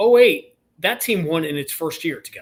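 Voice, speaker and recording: A man with an ordinary speaking voice at a fairly quick pace. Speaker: radio play-by-play announcer. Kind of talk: podcast interview answer.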